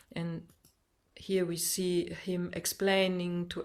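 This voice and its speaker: A woman speaks with a non-native accent. Her fairly low voice stays monotone and flat. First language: not English. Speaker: meditative dance instructor. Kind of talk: webinar slide presentation. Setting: video call. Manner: halting, many fillers and restarts.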